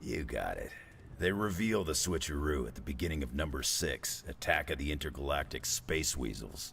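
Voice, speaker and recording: Using a put-on character voice, a man speaks at a very deep, low pitch and a moderate pace. Clear background noise can be heard. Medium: video game. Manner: dry, laconic.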